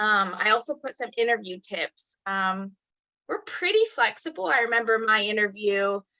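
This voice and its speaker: Her tone is bright and sharp, and the woman's pitch is fairly high. She keeps a moderate pace with ordinary pitch variation. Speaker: archaeologist. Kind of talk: career panel talk.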